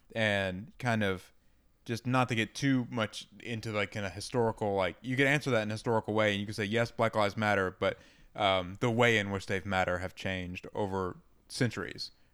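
A man's normal speaking voice, fairly low and fairly even in pitch, at a fairly quick pace in a very clean recording with a silent background. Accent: American. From US South, Georgia (outside Atlanta). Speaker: podcast co-host. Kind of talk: casual chat.

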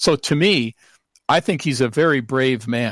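This man has an ordinary speaking voice with an American accent, medium pitch and ordinary pitch variation, talking at a moderate pace in a dry, close sound with no echo and a very clean recording over a silent background. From Seattle, US Pacific Northwest. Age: 60s. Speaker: professor and researcher.

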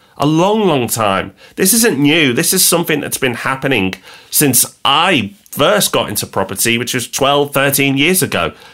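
A man's bright, sharp voice at a fairly high pitch, with very wide pitch swings and a moderate pace. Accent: English. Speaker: property podcast co-host. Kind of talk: casual chat.

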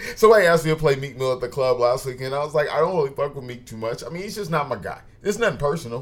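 A man talks at a very fast pace with lively intonation and big swings in loudness. His voice is somewhat breathy. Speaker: podcast host. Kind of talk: casual banter podcast. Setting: studio.

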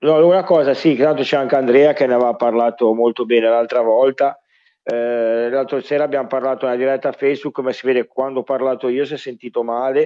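A man talking very fast, intonation fairly even. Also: medium pitch for a man. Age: 40s. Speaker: football podcast co-host. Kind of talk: casual chat. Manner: halting.

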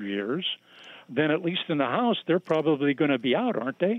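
A man with an unremarkable speaking voice, lively intonation and a fairly quick pace. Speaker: caller. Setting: phone call.

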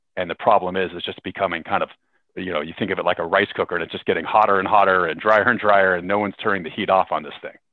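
Speaking very fast with a West Coast US accent, a man delivers his words in a very deep, low pitch with monotone, flat intonation. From US, Seattle area. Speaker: tech company executive. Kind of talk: interview.

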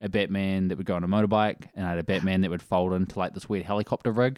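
Someone speaks very fast in a New Zealand accent. The intonation is monotone and flat. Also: man, very clean recording, silent background. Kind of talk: casual chat. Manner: laid-back.

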